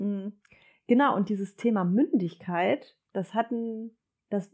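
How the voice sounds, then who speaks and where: On a very clean recording with a silent background, a woman with a medium pitch and a dark, mellow tone speaks with fairly even intonation. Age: 30s. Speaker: mother sharing birth stories. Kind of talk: casual interview chat.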